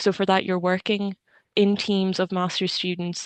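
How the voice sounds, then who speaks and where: A woman's fairly low voice with an Irish accent, flat and monotone, dry and close with no echo, against a quiet background. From Ireland, Kilkenny. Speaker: engineering student. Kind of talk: webinar talk.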